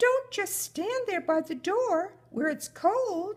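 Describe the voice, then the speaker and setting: A squeaky, put-on character voice moves at a very slow pace. Its pitch swings very widely. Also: woman, extremely high pitch for a woman. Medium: read story. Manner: warm, homely.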